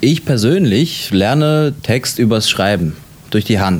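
A man's voice at a fairly slow pace. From Germany, Latvian family. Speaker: actor. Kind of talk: interview. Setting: hotel. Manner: halting, with fillers.

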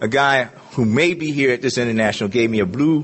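With lively intonation and a fairly quick pace, a man speaks in an unremarkable speaking voice. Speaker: recovering alcoholic speaker. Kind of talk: testimony.

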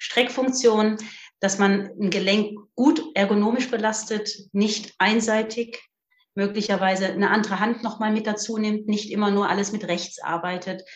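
Somewhat breathy, a woman talks at a moderate pace with fairly even intonation. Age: 50s. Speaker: physiotherapist. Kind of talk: casual interview.

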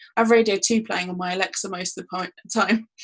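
A woman speaks very fast in a somewhat breathy voice. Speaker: university lecturer in digital marketing. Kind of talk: interview.

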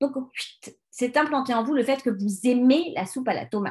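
A woman at a high pitch with very wide pitch swings and a fairly quick pace, against a quiet background. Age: 40s. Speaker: life coach and podcast host. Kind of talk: solo self-help podcast monologue. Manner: hesitant, many fillers.

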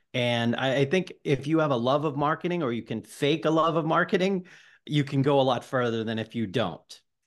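Against a quiet background, a man talks fairly quickly at a fairly high pitch. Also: ordinary pitch variation. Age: 40s. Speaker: debut novelist. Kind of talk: casual chat. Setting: podcast interview.

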